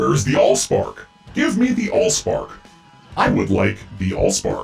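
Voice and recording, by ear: Over faint music in the background, a man uses a robotic, put-on character voice at a moderate pace.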